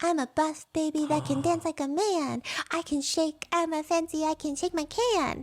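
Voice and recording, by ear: Breathy and at a moderate pace, the put-on character voice has a dry, close sound with no echo on a very clean recording with a silent background. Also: woman, extremely high pitch for a woman.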